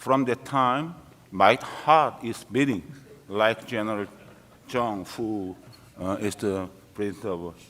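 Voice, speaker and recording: A man with a Korean accent, fairly low in pitch, at a very slow pace with lively intonation and long, frequent pauses. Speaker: retired military officer, conference panelist. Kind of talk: panel discussion. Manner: halting.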